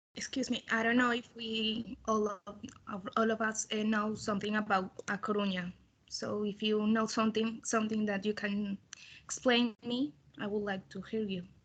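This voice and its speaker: This woman's fairly high, somewhat breathy voice stays monotone, with flat intonation throughout. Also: moderate pace. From Colombia, Bogotá. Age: 20s. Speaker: business student. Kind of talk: group presentation on a video call. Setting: video call.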